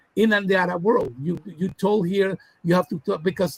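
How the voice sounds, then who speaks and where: In a Spanish accent, a man talks at a moderate pace with a high pitch. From Latin America. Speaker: academic researcher. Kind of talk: interview discussion. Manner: halting, many fillers.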